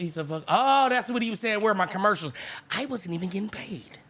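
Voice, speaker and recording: A man speaks in an animated tone over noticeable background noise. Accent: American. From Sacramento, California. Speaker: reaction streamer. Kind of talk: live reaction commentary. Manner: yelling.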